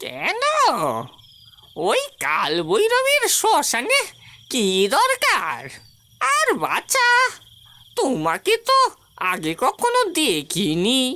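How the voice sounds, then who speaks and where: This cartoonish character voice sits at an extremely high pitch. The delivery is very slow. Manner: fretful, gossipy.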